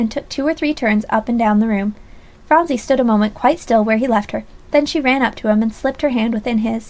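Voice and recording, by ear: With ordinary pitch variation, a passage is read aloud in a natural voice.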